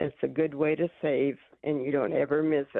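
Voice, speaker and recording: A woman's very deep, low voice moves along at a moderate pace. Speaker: caller. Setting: phone call.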